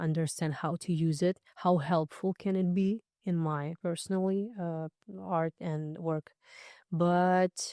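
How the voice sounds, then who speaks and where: The voice has a non-native accent, a dark, mellow tone and fairly even intonation, captured with a dry, close sound and no echo. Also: woman, very clean recording, silent background. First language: not English. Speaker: dancer and singer. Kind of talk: podcast interview. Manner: halting.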